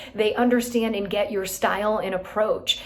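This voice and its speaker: Noticeable background noise and audible room echo surround this recording. A woman speaks at a medium pitch and a moderate pace. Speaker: real estate team leader. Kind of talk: motivational talk to team.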